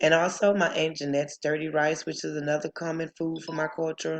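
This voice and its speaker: In a Southern accent, a woman speaks at a moderate pace with a very deep, low pitch and monotone, flat intonation. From US South. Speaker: student. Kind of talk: class presentation.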